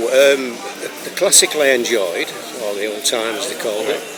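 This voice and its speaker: Fairly slow speech over music in the background, with audible room echo. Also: man. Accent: northern English. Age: 80s+. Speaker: retired ballroom dance teacher. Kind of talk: casual interview. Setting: dance venue before rehearsals.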